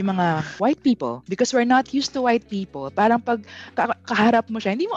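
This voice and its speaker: With very wide pitch swings, a woman speaks in a dry, close sound with no echo as noticeable background noise comes through. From Philippines, Pampanga. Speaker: podcast host. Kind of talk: casual chat.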